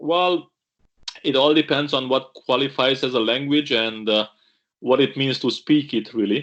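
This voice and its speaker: A man with a Romanian accent speaks at a moderate pace and medium pitch, his intonation fairly even. The background is quiet. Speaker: pastor. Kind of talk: video interview.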